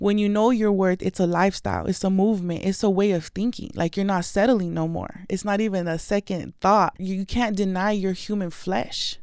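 A woman with an American accent has a plain, everyday voice at a medium pitch, with fairly even intonation and hardly any pauses, in a very clean recording with a silent background. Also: fairly quick pace. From Tucson, Arizona. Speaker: public speaker and artist. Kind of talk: interview.

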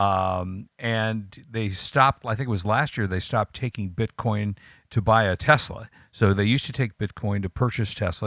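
Recorded very cleanly with a silent background and a dry, close sound with no echo, a man speaks in an ordinary speaking voice, fairly low in pitch with ordinary pitch variation. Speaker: tech radio co-host. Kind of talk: casual chat.

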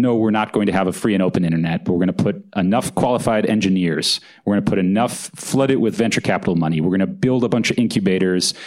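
Delivered at a very fast pace with hardly any pauses, the speech has very even loudness and ordinary pitch variation. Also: man, fairly low pitch for a man. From California. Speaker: author and journalist. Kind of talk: live on-stage interview at book launch. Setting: stage with audience.

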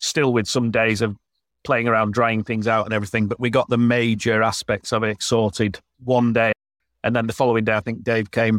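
In a Yorkshire accent, the speech moves at a fairly quick pace with monotone, flat intonation, and the sound is dry and close with no echo on a very clean recording with a silent background. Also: man. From northern England, Yorkshire. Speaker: glamping business owner. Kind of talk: casual interview chat.

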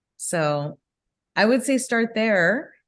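Against a quiet background, a woman with an American accent and a fairly high pitch speaks with very wide pitch swings. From Southern California. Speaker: business executive. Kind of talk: interview.

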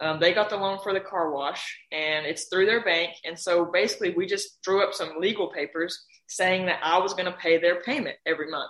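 A woman with an ordinary speaking voice talks at a fairly quick pace in a medium pitch, with fairly even intonation. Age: 20s. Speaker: car wash owner and real estate agent. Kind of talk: interview.

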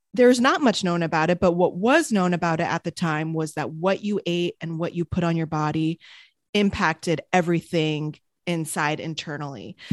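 Over a quiet background with a dry, close sound and no echo, a woman with an American accent speaks in a normal speaking voice at a fairly low pitch. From France / US, French-American. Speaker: entrepreneur and wellness podcaster. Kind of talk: casual interview chat.

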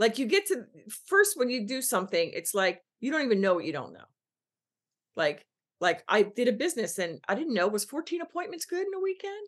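A woman with an American accent speaks high and fairly quickly, her pitch swinging very widely and her loudness rising and falling sharply. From Philadelphia, US East Coast. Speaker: business coach. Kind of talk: podcast interview.

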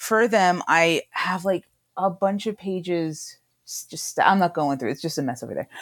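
A woman talks at a moderate pace with ordinary pitch variation in a normal speaking voice. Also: fairly low pitch for a woman, very clean recording, silent background. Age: 30s. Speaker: cartoonist. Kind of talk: casual chat.

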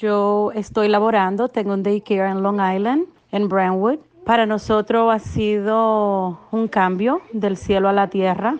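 In an ordinary speaking voice, a woman of medium pitch talks at a fairly slow pace with fairly even intonation. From Dominican Republic. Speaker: daycare owner. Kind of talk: testimony.

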